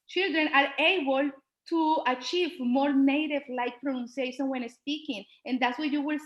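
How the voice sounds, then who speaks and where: A woman speaks with a Spanish accent. Her pitch is high. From Colombia. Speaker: Spanish teacher. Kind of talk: presentation at an online school board meeting. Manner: halting, with fillers.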